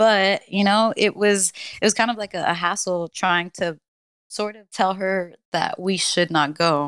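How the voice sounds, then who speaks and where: A woman speaks at a medium pitch and a fairly slow pace, with fairly even intonation but big swings in loudness. The recording is very clean with a silent background and a dry, close sound with no echo. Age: 20s. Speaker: podcast co-host. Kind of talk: casual chat. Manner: nervous, hesitant, fillers.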